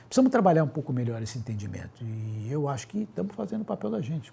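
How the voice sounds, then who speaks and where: A man talks at a very fast pace in a medium pitch. His tone is dark and mellow, and somewhat breathy. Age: 60s. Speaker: physician. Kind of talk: interview.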